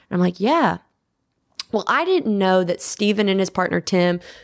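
Against a quiet background, a woman with an American accent sounds animated at a medium pitch. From US South, small-town Georgia. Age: 20s. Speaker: musical theater performer and choreographer. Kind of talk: casual interview.

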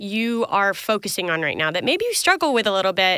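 On a very clean recording with a silent background, a woman speaks in an American accent. Her tone is bright and sharp, with lively intonation. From Tennessee, US South. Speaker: podcast host. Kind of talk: interview.

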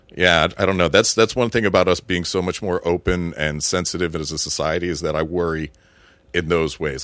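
A man's very deep, low voice with an American accent and vocal fry, on a very clean recording with a silent background. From Florida. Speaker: army veteran. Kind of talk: casual chat.

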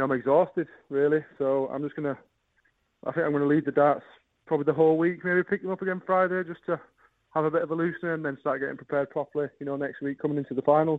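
Here is a man with a Yorkshire accent and a fairly high pitch. He talks at a very fast pace with fairly even intonation. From northern England, Bradford. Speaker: professional darts player. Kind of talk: radio interview.

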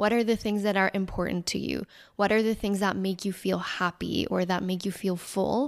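On a very clean recording with a silent background, a woman speaks at a moderate pace in a medium pitch with monotone, flat intonation. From Mexico. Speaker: couples therapist. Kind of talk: interview.

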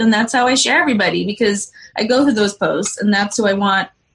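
This is a plain, everyday voice, and its pitch varies in an ordinary way. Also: woman. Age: 40s. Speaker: cannabis mom community organizer. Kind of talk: casual chat.

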